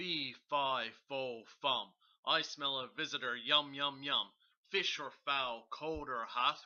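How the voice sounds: Bellowing in a put-on character voice, a man moves at a fairly slow pace at a medium pitch.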